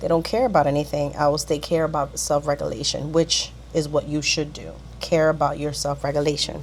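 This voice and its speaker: A woman keeps to a moderate pace with noticeable background noise in the recording. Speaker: lifestyle vlogger. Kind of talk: casual vlog talk. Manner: chatty.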